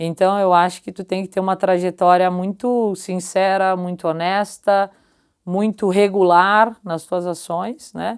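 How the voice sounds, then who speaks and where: A woman of medium pitch speaks at a fairly slow pace in a monotone, flat intonation. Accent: southern Brazilian. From southern Brazil, Caxias do Sul (Rio Grande do Sul). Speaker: company executive. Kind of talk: interview conversation.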